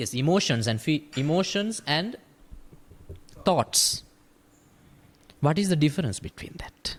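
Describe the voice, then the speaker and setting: Long, frequent pauses mark the fairly slow speech of a man with a Sri Lankan accent, a fairly high pitch and lively intonation. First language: Sinhala. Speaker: Buddhist monk. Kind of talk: dhamma discussion.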